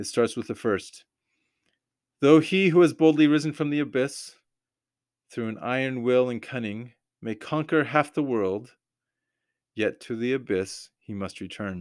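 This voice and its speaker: A man with an American accent speaks at a fairly slow pace in a medium pitch, his lively intonation and big swings in loudness broken by long, frequent pauses, on a very clean recording with a silent background. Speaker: podcaster. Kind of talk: solo podcast commentary with scripture discussion; reading aloud a resistance leaflet, solemn and declamatory. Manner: halting, filler-heavy, with frequent restarts; earnest, impassioned.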